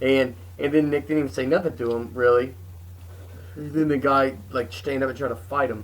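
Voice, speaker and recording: Here is a man with an ordinary speaking voice at medium pitch. He keeps a moderate pace and lively intonation. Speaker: comedian, podcast co-host. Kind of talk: casual podcast talk.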